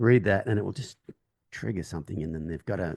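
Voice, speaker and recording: A man's dark, mellow tone with ordinary pitch variation over a quiet background. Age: 50s. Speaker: horse trainer. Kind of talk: casual chat.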